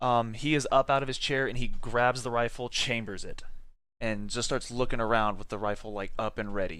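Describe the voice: Reading aloud, done plainly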